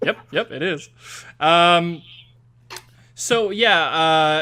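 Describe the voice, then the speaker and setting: This man has a strong French accent and ordinary pitch variation. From Quebec. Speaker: podcast host. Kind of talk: casual interview.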